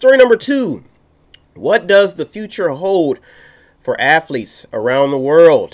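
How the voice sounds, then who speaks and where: A man's high-pitched voice with an American accent, very wide pitch swings, a fairly slow pace and long, frequent pauses over a quiet background. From Youngstown, Ohio, US Midwest; Ohio. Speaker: talk radio host; radio show host. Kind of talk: news commentary; radio news talk show commentary. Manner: halting, repetitive. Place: studio. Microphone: studio mic.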